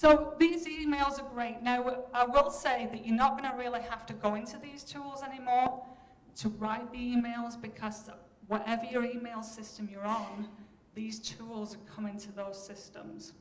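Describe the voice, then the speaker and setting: Over noticeable background noise and audible room echo, a woman with a Yorkshire accent talks at a moderate pace and fairly high pitch, with big swings in loudness. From Yorkshire, northern England. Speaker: professor. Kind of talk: keynote lecture. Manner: animated.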